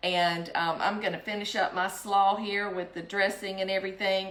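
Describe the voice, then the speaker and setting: A woman with a South Carolina accent talks at a fairly slow pace, with audible room echo and noticeable background noise. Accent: Southern US (South Carolina). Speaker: home cooking vlogger. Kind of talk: cooking tutorial. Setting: home kitchen. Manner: casual, hesitant with frequent ums.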